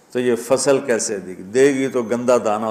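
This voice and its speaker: Noticeable background noise sits behind the speaker. He is a man with a medium-pitched voice. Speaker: Islamic preacher giving a sermon. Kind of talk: emotional religious sermon (bayan).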